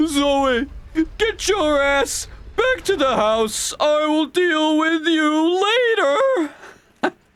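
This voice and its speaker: A put-on character voice sits at a high pitch. The delivery is very slow. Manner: scolding, stern.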